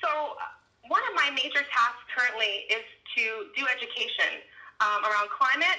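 At a high pitch, a woman speaks in a raised, projected voice at a moderate pace with ordinary pitch variation. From Baltimore, Maryland. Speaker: climate justice organizer. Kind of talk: interview.

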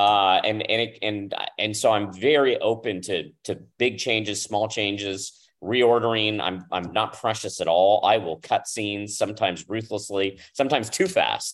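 With an ordinary speaking voice, a man talks at a moderate pace and fairly low pitch, showing ordinary pitch variation against a quiet background. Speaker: showrunner and TV director. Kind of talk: panel Q&A interview. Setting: video call.

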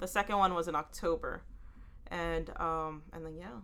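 Here a woman talks with a Texan accent. Her voice is fairly low in pitch, with a bright, sharp tone. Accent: Texan American English. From Houston, Texas; Salvadoran family. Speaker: writer. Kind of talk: casual interview.

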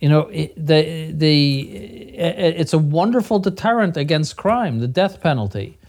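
Lively intonation at a moderate pace. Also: man, fairly high pitch for a man. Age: 60s. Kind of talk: radio discussion panel. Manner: halting, many repetitions and fillers.

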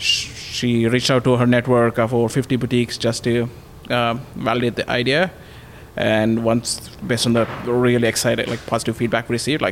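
A man's voice amid noticeable background noise. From India. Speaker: startup founder. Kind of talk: interview.

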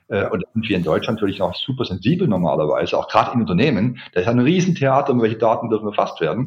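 Talking at a very fast pace with hardly any pauses, a man at a medium pitch makes very wide pitch swings while keeping his loudness very even. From Swabia, southern Germany (Ulm). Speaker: corporate learning expert. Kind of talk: interview.

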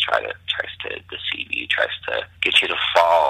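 A man whispers at a moderate pace while noticeable background noise carries on. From Mexico. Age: 20s. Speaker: campus pastor. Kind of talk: casual chat.

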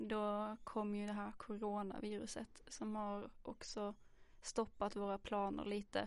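A woman at medium pitch, very slow and monotone, with flat intonation. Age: 20s. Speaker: social work student, podcast host. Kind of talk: casual chat. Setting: studio.

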